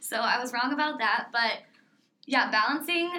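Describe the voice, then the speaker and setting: Speaking fairly quickly with an American accent, a woman has a bright, sharp tone and ordinary pitch variation. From US Midwest, small-town Indiana. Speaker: college synchronized swimmer. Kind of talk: interview.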